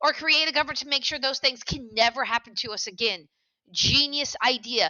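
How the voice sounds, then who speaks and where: With an American accent, a woman speaks in a high, animated voice with ordinary pitch variation. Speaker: teacher. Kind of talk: lecture.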